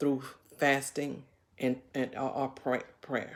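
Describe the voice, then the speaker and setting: A woman speaks with a very deep, low pitch. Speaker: bible teacher on a video channel. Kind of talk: informal bible study talk. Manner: halting, many fillers and repeats.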